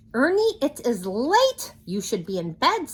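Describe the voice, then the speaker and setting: A put-on character voice, raised and projected, high-pitched with very wide pitch swings at a fairly slow pace. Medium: read story.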